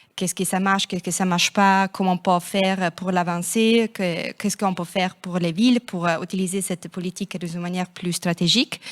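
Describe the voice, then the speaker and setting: A woman with a non-native accent speaks at a fairly quick pace. The recording is very clean, with a silent background and a dry, close sound with no echo. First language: not French (speaking French). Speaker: city network representative. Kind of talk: panel discussion. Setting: stage with audience. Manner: hesitant.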